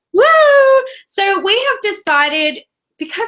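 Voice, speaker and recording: In a raised, projected voice, a woman with an Australian accent speaks in a bright, sharp tone with very wide pitch swings. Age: 20s. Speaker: book reviewer. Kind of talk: casual chat. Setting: video call.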